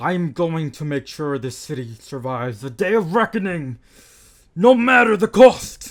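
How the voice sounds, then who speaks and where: A man puts on a high-pitched character voice. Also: moderate pace. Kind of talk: grave, serious. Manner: tensely calm, forced calm.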